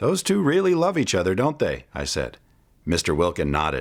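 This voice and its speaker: Very wide pitch swings and vocal fry on a very clean recording with a silent background. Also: man. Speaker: children's book reader / voice-over narrator. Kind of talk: children's book read-aloud storytelling.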